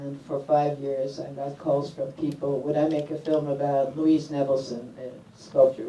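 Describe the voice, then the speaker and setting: Against noticeable background noise, a woman with an American accent speaks at a moderate pace in a very deep, low pitch and a monotone, flat intonation. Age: 70s. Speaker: documentary filmmaker. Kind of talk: panel discussion. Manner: halting, with fillers.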